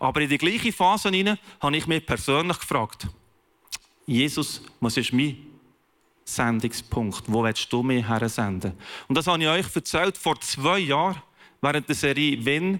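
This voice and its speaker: The recording is very clean with a silent background, and the tone is bright and sharp with very even loudness. The pace is fairly slow, with lively intonation and long, frequent pauses. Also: man, fairly high pitch for a man. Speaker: pastor. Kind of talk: sermon.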